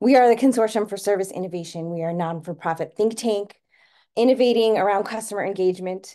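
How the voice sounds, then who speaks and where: The tone is dark and mellow. The background is quiet. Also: woman. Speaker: webinar host. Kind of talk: webinar introduction. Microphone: video call.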